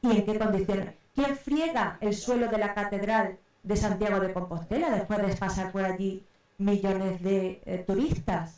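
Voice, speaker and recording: This woman speaks at a fairly slow pace. Her pitch sits in the medium range with ordinary variation. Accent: Andalusian. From Córdoba, Andalusia, Spain. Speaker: researcher. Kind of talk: round table talk. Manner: hesitant, many fillers.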